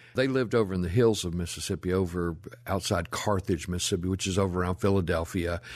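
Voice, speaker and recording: A man with a Memphis accent and a very deep, low pitch, at a very fast pace with fairly even intonation, against a quiet background. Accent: Southern US (Memphis). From US South. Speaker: historian, author and filmmaker. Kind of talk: interview conversation, storytelling. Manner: talkative.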